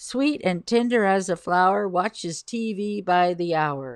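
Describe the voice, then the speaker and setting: Recorded dry and close with no echo, a woman speaks at a medium pitch with lively intonation. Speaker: podcast host. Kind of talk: casual solo podcast, reading poetry aloud. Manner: informal, rambling, hesitant.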